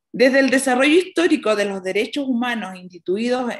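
A woman speaks with a Chilean accent at a high pitch. The background is quiet. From Chile, rural Colchagua Valley. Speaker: nun and prison chaplain. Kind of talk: conference talk. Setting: video call from a small prison dining room. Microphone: webcam.

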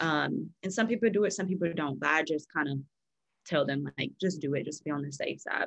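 A woman with a very deep, low pitch and vocal fry talks at a fairly quick pace with ordinary pitch variation, over a quiet background. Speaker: real estate agent; guest. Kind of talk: panel discussion. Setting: video call. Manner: personable. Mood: friendly, relaxed. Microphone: video call.

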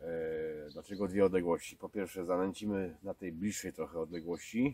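A man speaks in a very deep, low voice, and the sound is dry with no echo. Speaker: angler vlogger. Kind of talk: casual vlog chat. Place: waterside. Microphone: camera far.

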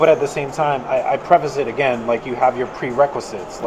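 A man talks fairly quickly while noticeable noise sits in the background. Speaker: podcast host. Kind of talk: casual chat. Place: hall.

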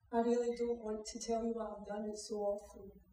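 A woman with a Scottish accent speaks at a moderate pace and fairly high pitch in a weary, sad tone, with audible room echo and light background noise. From Scotland. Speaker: actor playing a young mother in a drama. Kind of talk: dramatic monologue, acted performance. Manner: weary, sad, heartfelt. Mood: sombre, confessional. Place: stage. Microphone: camera far.

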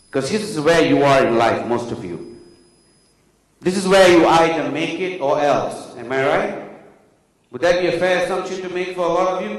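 A man's high-pitched, moderate-paced voice with ordinary pitch variation, audible room echo and a quiet background. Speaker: keynote speaker. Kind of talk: motivational keynote speech. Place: hall. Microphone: handheld.

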